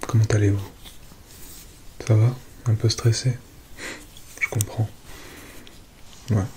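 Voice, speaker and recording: Against noticeable background noise, a soft-spoken man talks with a calm, gentle tone and a fairly low pitch. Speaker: ASMR content creator. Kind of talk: ASMR roleplay as a space-agency psychologist speaking to a patient. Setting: close-mic ASMR recording, relaxation. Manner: soft-spoken, calm, gentle.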